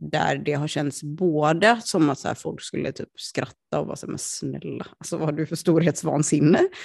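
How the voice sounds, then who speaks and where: A woman at a moderate pace with hardly any pauses. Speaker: podcast co-host. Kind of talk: casual chat. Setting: lying on a sofa at home.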